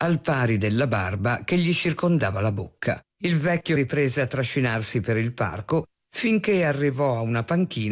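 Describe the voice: Over a quiet background, the speaker uses lively intonation in plain reading aloud.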